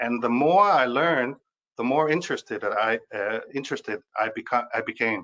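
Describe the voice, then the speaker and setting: A man speaks with a Danish accent. His pitch varies in an ordinary way. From Denmark. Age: 50s. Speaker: speaker on money. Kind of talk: webinar talk. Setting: video webinar. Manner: halting, many fillers.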